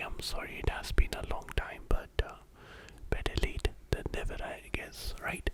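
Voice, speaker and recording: A whisper in a gentle tone at a fairly slow pace, over noticeable background noise. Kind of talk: casual intro to camera. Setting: studio, close-mic ASMR. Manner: whispering, soft-spoken, gentle.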